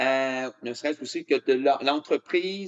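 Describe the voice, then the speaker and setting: Here a man speaks at a fairly slow pace. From Canada (Quebec). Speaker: motivational speaker. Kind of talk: keynote speech. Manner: hesitant with many fillers.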